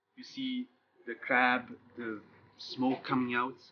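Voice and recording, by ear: The voice moves through big pitch swings. It keeps to a slow pace. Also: man, medium pitch for a man.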